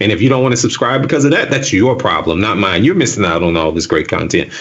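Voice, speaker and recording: Over noticeable background noise, a man with a Southern US accent talks at a very fast pace and medium pitch, his pitch swinging very widely while his loudness stays very even. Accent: Southern US accent, says axe for ask. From US South. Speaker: tech video creator. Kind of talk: casual chat.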